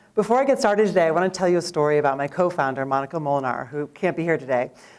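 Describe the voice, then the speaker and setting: Lively intonation from a woman with an American accent and a fairly low pitch, on a very clean recording with a silent background. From New York City. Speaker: startup founder. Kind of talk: pitch presentation. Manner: fast.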